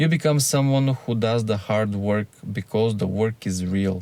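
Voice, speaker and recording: A man with a non-native accent talks at a moderate pace and medium pitch. His tone is dark and mellow, with ordinary pitch variation. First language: not English. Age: 30s. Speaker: YouTuber. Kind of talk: personal monologue to camera. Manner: earnest, candid.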